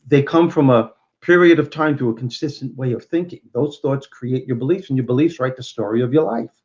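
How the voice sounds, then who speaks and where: In a Brooklyn accent, the speaker moves at a fairly quick pace with ordinary pitch variation. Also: man, medium pitch for a man. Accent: Brooklyn New York. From Brooklyn, New York. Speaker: motivational speaker and comedian. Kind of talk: interview.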